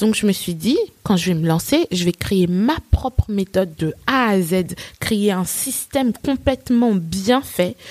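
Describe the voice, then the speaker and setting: The delivery is very slow, carried by lively intonation. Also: woman, medium pitch for a woman, dry, close sound with no echo. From Côte d'Ivoire (Nigerian family), then France from age 12. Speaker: English teacher and entrepreneur. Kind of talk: interview.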